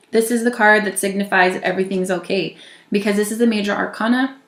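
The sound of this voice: A woman at a fast pace, with audible room echo around her. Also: medium pitch for a woman, fairly even intonation.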